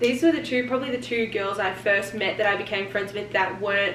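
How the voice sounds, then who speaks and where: Speaking fairly quickly in an Australian accent, a woman uses a medium pitch with ordinary variation. The room echo is audible and the background noise noticeable. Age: 20s. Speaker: vlogger. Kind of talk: casual chat.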